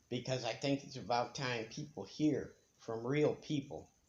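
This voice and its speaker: With an American accent, a man speaks at a moderate pace in a somewhat breathy voice with fairly even intonation. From United States. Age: 60s. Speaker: retiree vlogger. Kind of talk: casual monologue. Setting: bedroom at home.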